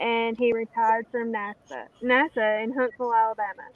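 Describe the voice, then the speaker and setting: With a strong Southern US accent, a woman speaks at a fairly high pitch. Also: dry, close sound with no echo. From US South. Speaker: livestream participant, prepper. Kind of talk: casual chat.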